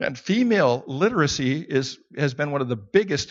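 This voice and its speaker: The voice is a plain, everyday voice with lively intonation. It moves at a moderate pace over a quiet background. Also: man. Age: 60s. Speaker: Bible teacher. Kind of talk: sermon.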